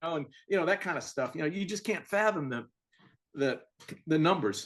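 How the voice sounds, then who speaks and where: A man with an American accent speaks in a high pitch at a moderate pace with lively intonation. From Virginia, US. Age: 60s. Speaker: author and retired Air Force officer. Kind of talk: casual interview.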